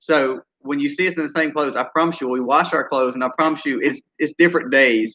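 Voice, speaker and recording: A man in a Mississippi accent at a fairly high pitch, very fast and with hardly any pauses, his intonation fairly even. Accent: Southern US (Mississippi). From US South. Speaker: homesteader, channel co-host. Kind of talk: casual live-stream chat.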